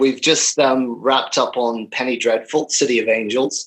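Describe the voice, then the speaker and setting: Speaking in a Northern Irish accent, a man talks at a moderate pace and medium pitch with fairly even intonation. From Northern Ireland. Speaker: film and TV editor. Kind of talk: interview.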